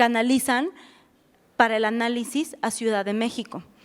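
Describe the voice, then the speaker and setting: The woman's fairly high voice keeps fairly even intonation at a fairly quick pace. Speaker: refugee protection officer. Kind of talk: lecture. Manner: fast.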